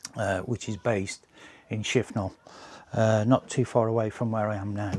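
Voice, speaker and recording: Speaking at a fairly slow pace, a man with a West Midlands accent has a medium pitch and a dark, mellow tone. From English West Midlands. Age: 60s. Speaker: RC plane hobbyist and channel owner. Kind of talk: casual vlog update. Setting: home workshop. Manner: hesitant, many fillers.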